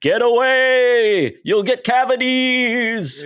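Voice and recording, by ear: A man does a put-on character voice at an extremely high pitch and a very slow pace.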